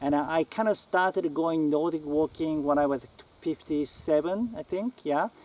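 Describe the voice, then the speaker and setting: Speaking with a Japanese accent, a man uses a fairly high pitch and ordinary pitch variation at a fairly slow pace. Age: 60s. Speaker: writer. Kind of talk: casual talk to camera. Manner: halting.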